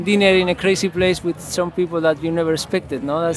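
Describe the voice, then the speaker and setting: Crowd noise fills the background as a man talks at a high pitch. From Basque Country, Spain. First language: Spanish or Basque. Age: 30s. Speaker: pro surfer and traveler. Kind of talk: interview. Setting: film festival.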